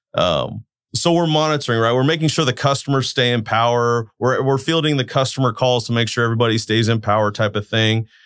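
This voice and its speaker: A man with an American accent talks at a very fast pace with hardly any pauses, at medium pitch with ordinary pitch variation. His loudness is very even, on a very clean recording with a silent background. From Turlock, California (US). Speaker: utility control center manager. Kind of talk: interview.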